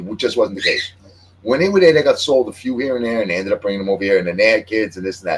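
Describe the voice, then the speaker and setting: A man's very fast, lively-toned speech at a medium pitch, over noticeable background noise. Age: 60s. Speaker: podcast host. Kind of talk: casual chat. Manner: halting.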